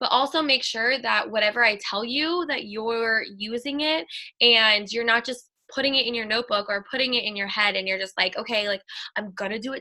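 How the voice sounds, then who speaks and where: Bright and sharp in tone, a woman talks at a very fast pace in a fairly high voice with ordinary pitch variation. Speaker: network marketing team leader. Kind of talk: team call presentation.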